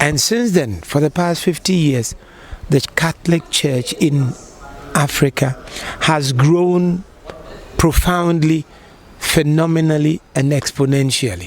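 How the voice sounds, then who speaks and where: A man's fairly high voice at a very slow pace, with ordinary pitch variation, very even loudness, long, frequent pauses and noticeable background noise. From Ghana. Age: 60s. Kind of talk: interview answer.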